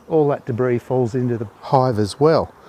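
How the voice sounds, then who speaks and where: A man's medium-pitched voice with an Australian accent, dry and close with no echo. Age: 60s. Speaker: beekeeper. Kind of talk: video narration.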